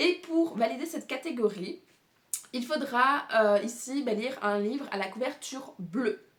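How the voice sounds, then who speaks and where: With lively intonation and a fairly slow pace, a woman speaks in a high voice. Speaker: booktuber. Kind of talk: casual video monologue presenting a reading challenge. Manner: many hesitations and fillers.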